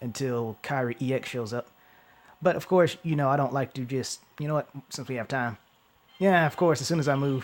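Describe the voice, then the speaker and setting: Speaking fairly quickly, a man uses medium pitch and ordinary pitch variation. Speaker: gaming YouTuber. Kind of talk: gameplay commentary. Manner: fast; stumbling over words.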